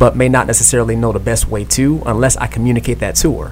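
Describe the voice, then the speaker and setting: A man is speaking. Music can be heard in the background. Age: 30s. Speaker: podcast co-host, husband. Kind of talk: casual radio interview.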